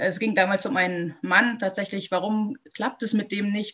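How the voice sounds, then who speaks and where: This woman's voice sits at a medium pitch and sounds somewhat breathy. Her intonation stays fairly even. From Munich, Bavaria. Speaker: spiritual medium and healer. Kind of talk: interview.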